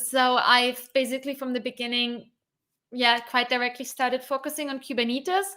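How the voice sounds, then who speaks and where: A woman projects her raised, high-pitched voice with a bright, sharp tone. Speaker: developer advocate, DevOps content creator. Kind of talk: live stream Q&A. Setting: live stream. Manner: fast.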